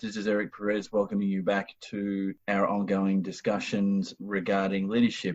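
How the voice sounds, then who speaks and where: Here a man talks in a fairly low pitch. He has an Australian accent. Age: 40s. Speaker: podcast host. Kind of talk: podcast interview.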